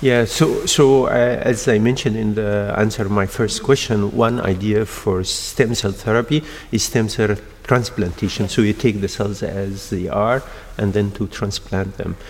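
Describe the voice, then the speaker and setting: Moderately paced, a man speaks with fairly even intonation. Noticeable background noise is present. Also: fairly low pitch for a man. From Egypt. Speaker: endocrinologist and stem cell researcher. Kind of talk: interview. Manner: halting.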